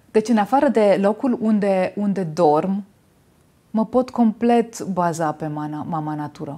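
A woman's dark, mellow tone at a fairly slow pace, with lively intonation. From Romania, Timișoara; Romania. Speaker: natural cosmetics maker; interview guest. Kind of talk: interview. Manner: halting. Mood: warm, reflective. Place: studio.

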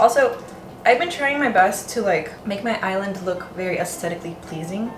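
Music can be heard in the background. Over it, a woman talks at a fairly quick pace. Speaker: home cooking vlogger. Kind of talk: casual vlog chat. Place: kitchen. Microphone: camera far.

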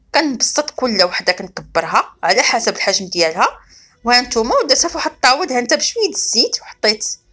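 Speaking at a fairly quick pace, a woman with a high pitch and bright, sharp tone ranges through very wide pitch swings. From Morocco. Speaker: cooking channel host. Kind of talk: cooking tutorial. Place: kitchen. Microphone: phone near.

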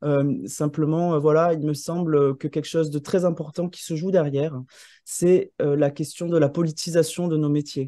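A man with a dark, mellow tone speaks at a fairly slow pace. The sound is dry with no echo, and the background is quiet. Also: fairly high pitch for a man, fairly even intonation. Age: 30s. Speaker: landscape architect and urban planner; presenter. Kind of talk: presentation. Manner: halting, many hesitations. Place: home room. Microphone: video call.

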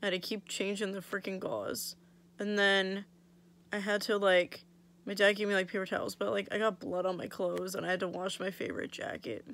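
A woman's fairly quick pace and fairly even intonation. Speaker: vlogger. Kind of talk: casual vlog chat. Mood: annoyed, wry storytelling. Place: home room. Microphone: phone near.

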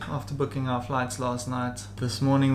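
Against noticeable background noise, a man of medium pitch speaks at a moderate pace in a monotone, flat intonation. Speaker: travel vlogger. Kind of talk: casual vlog talk.

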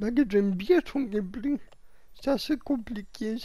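A dark, mellow tone marks this voice. It is also somewhat breathy. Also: woman. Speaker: gaming YouTuber. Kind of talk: gameplay commentary. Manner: halting.

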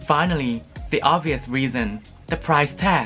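There is faint music in the background as a man speaks with ordinary pitch variation. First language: not English. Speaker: beauty product reviewer. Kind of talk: casual product review to camera. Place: home room.

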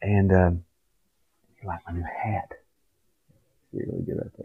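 Monotone, flat delivery from a man with an Appalachian accent, very deep and low in pitch, at a moderate pace over a quiet background. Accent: Appalachian country. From West Virginia, Appalachia. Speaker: vlogger. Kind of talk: casual talk to camera. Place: home room. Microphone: webcam.

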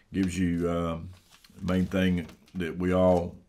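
A man's low-pitched voice with a slightly mellow tone at a slow pace

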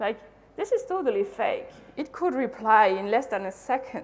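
Woman with a French accent, a high pitch, very wide pitch swings and a moderate pace. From France. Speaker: conference speaker, UX designer; conference speaker. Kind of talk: conference talk. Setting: stage with audience. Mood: casual, lively storytelling. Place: hall.

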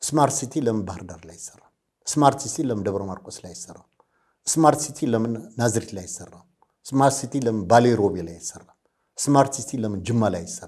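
Lively in intonation, a man speaks at a medium pitch with big swings in loudness. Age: 60s. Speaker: political commentator. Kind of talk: interview. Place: studio. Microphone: lapel.

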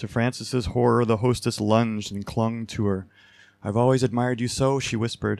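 The intonation holds fairly even through this plain reading aloud.

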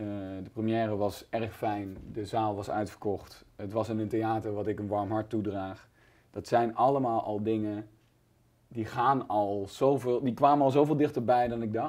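A normal speaking voice from a man, fairly low in pitch, at a fairly slow pace with fairly even intonation over a quiet background. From Netherlands, near Nijmegen (Gelderland); Gelderland, Netherlands. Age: 30s. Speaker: comedian. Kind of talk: casual interview. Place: studio. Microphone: lapel.

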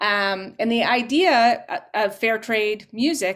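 This woman speaks with a Canadian accent. Her pitch variation is ordinary. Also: quiet background. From Canada. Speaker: folk musician. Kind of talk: panel discussion. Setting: video call. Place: home room.

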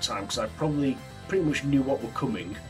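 There is clear music in the background as a man speaks. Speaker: horror film reviewer. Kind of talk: casual review vlog. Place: home room. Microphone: phone near.

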